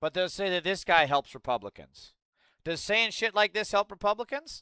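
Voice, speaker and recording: A man with an American accent speaks at a moderate pace in a high, raised, projected voice, bright and sharp in tone. His delivery is animated with lively intonation, on a very clean, dry, close recording with a silent background and no echo. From US, Idaho. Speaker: political livestreamer. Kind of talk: livestream political commentary.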